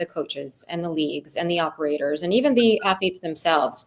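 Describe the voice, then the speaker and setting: A woman talks at a fairly quick pace in a plain, everyday voice. Her pitch sits fairly low, with an American accent. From Ukraine, then Brooklyn, New York. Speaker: tech entrepreneur and parent. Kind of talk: podcast interview.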